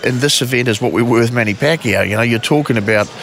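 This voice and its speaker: Noticeable background noise sits behind this voice. A man speaks in a New Zealand accent. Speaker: boxing promoter. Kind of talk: interview.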